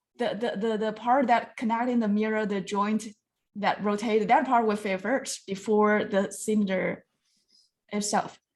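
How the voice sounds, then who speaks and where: A woman with a non-native accent, fairly high in pitch, at a fairly slow pace. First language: not English. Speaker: design review judge. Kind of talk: design review feedback. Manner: halting.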